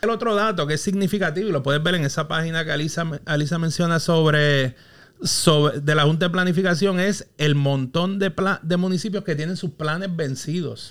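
A man with a fairly high pitch speaks fairly quickly, his pitch varying in an ordinary way. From Puerto Rico, Quebradillas. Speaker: urban planner and consultant. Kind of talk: casual interview. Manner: halting, repeats words.

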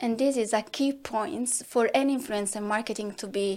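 Her pitch varies in an ordinary way. This woman has a fairly high voice. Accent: Italian. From southern Italy. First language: Italian. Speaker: marketing director. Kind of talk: podcast interview.

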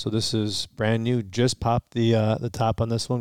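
In an ordinary speaking voice, a man with an American accent and medium pitch talks at a fairly quick pace in a very clean recording with a silent background. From Michigan, US. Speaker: podcast co-host, bourbon reviewer. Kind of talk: casual chat, tasting review. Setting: home basement.

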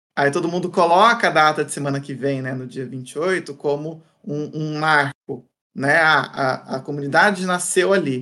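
Bright and sharp in tone, a man's fairly high voice shows ordinary pitch variation. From interior of São Paulo state, Brazil. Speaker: content creator, former academic. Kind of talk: interview conversation. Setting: studio videocast.

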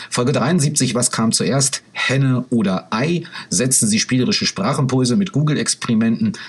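A man speaks at a moderate pace in a medium pitch. His pitch swings very widely. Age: 40s. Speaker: educational podcaster. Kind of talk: lecture-style podcast with screen demo. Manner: halting, many filler sounds.

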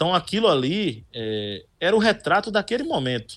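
Recorded very cleanly against a silent background, a man talks with very wide swings in pitch. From Olinda, Pernambuco, Brazil. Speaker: radio sports reporter. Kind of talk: interview.

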